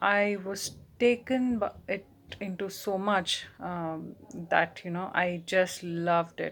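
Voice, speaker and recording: Very slowly, a woman speaks in a Telugu accent on a very clean recording with a silent background. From India, Bangalore. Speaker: writer and translator. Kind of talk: personal talk to camera. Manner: halting, many fillers.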